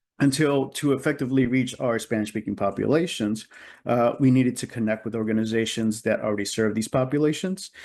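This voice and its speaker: Against a quiet background, a man with a medium pitch and ordinary pitch variation speaks at a fairly quick pace. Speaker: conference presenter. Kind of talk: conference presentation. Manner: fast.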